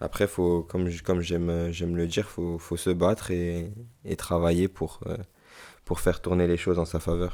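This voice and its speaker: Very deep and low, a man's voice stays monotone with flat intonation on a very clean recording with a silent background. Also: moderate pace. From Paris region, France (Hauts-de-Seine). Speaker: professional footballer. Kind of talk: interview. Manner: halting, many repetitions; casual, friendly.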